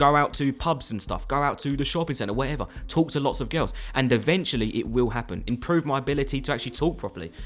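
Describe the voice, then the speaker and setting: Speaking at a very fast pace in a British accent, a man with a fairly high pitch has an animated tone and ordinary pitch variation. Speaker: youtuber. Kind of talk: motivational monologue.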